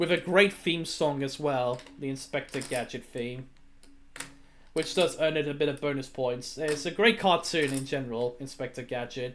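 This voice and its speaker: A British accent marks the speech. It proceeds at a moderate pace. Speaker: streamer. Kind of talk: casual solo commentary. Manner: halting, repetitive.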